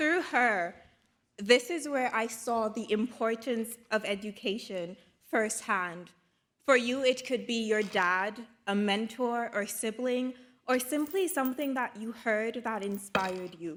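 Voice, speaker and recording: Fairly slow speech with a Caribbean accent and ordinary pitch variation. The recording is very clean, with a silent background. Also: woman, fairly high pitch for a woman. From Dominica, Caribbean. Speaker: graduate student speaker and journalist. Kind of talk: graduation speech. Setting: stage with audience at graduation ceremony. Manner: formal.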